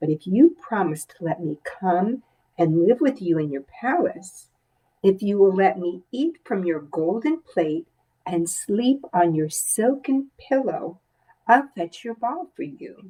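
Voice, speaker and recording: A croaky, female-sounding put-on character voice at a middle pitch, speaking at a fairly slow pace. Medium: read story. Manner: insistent.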